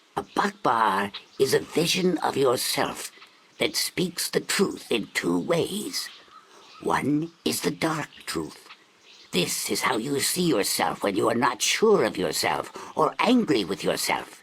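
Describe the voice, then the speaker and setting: Putting on a character voice, a man speaks at a fairly slow pace. His pitch sits fairly high. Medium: video game. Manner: slow, solemn, ceremonial.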